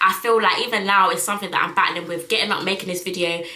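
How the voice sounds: A woman talks at a fast pace in a bright, sharp tone with fairly even intonation. Audible room echo surrounds her voice. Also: medium pitch for a woman.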